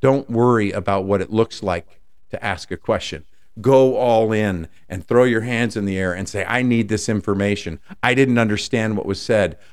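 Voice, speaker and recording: A man's normal speaking voice, fairly low in pitch, with ordinary pitch variation and a moderate pace, on a very clean recording with a silent background. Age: 50s. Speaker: podcast host and life coach. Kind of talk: solo podcast monologue.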